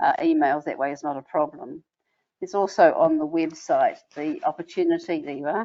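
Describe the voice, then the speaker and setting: A woman with a New Zealand accent at a fairly quick pace, with big swings in loudness. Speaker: membership organizer of a women's service organization. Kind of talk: online information session. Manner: halting.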